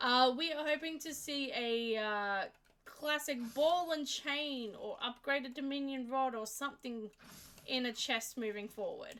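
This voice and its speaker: Her voice raised and projected, a woman speaks fairly slowly in a high pitch with lively intonation. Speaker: streamer. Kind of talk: casual chat. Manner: halting.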